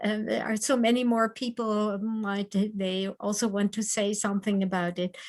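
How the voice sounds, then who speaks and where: On a very clean recording with a silent background, a woman with a non-native accent speaks at a moderate pace and medium pitch in a monotone, flat intonation. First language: not English. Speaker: cantor. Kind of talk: panel discussion. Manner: halting.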